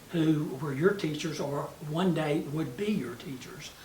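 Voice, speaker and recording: A man's fairly high voice at a fairly slow pace with fairly even intonation, noticeable background noise and audible room echo. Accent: Tennessee. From US South, West Tennessee. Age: 70s. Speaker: mayor. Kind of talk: interview reminiscence. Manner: many fillers (uh, you know).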